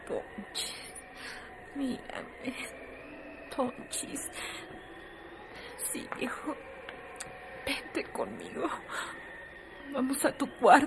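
Doing a put-on character voice, a woman speaks very slowly with long, frequent pauses, a high pitch, vocal fry and very wide pitch swings. Clear noise runs in the background.

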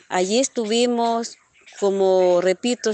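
In a dry, close sound with no echo, a woman speaks at a very slow pace in a monotone, flat intonation. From El Salvador, Cabañas department. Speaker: former guerrilla radio operator. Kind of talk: testimony.

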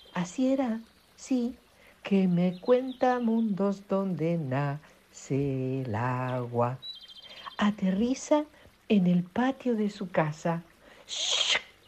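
Over noticeable background noise, a woman at medium pitch talks very slowly with long, frequent pauses and very wide pitch swings. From Italy. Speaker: children's author and volunteer reader. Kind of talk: storytelling for children. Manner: animated.

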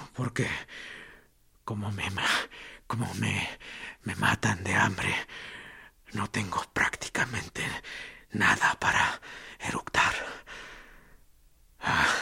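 A man speaks in a raspy, put-on character voice at a very slow pace. His intonation stays fairly even, with long, frequent pauses. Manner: ironic, mocking, strangely serene.

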